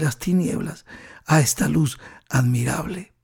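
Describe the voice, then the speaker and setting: In an animated tone, a man speaks at a fairly slow pace with ordinary pitch variation. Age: 60s. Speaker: pastor. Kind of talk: sermon.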